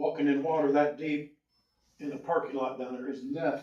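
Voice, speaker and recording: A man speaks at a fairly quick pace with a Midwestern US accent. His pitch sits fairly high for a man. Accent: rural Midwestern US. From Indiana. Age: 70s. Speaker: local resident. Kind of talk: public comment at a town meeting. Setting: town council public hearing.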